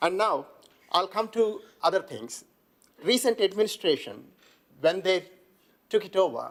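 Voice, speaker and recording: A man with a non-native accent, high in pitch, at a moderate pace. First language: not English. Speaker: local councillor. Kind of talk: council debate speech. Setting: council chamber.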